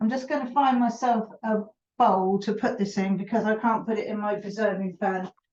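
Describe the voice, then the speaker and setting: Speaking at a fairly quick pace, a woman sounds somewhat breathy, her intonation fairly even. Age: 70s. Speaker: preserving teacher. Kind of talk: cooking tutorial. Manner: casual, chatty.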